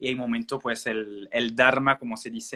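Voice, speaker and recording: With a French accent, a man speaks at a moderate pace and medium pitch in a bright, sharp tone, his intonation flat and monotone, the sound dry and close with no echo. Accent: French-speaking accent in Spanish. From Belgium. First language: French (speaking Spanish). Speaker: naturopath. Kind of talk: interview. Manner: halting, many fillers.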